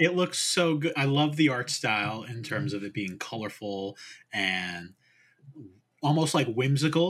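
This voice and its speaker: At a fairly slow pace, a man with a fairly high pitch makes very wide pitch swings. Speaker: podcast co-host. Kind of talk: casual chat. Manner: laid-back.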